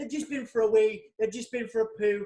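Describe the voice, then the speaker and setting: Extremely high in pitch, a man talks with a Yorkshire accent. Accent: Yorkshire British. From Yorkshire, northern England. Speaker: podcast host, magazine editor. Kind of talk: casual chat. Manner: animated.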